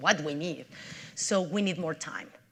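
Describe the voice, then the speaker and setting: The speaker has a strong Mexican accent. Pitch variation is ordinary. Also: woman. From Mexico City, Mexico. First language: Spanish. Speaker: nonprofit CEO. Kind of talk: public talk.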